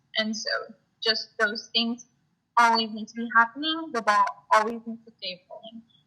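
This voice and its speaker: At a fairly slow pace, a woman speaks in a bright, sharp tone with ordinary pitch variation. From South Texas (Rio Grande Valley). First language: Spanish. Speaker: student activist. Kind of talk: interview. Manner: hesitant, many fillers.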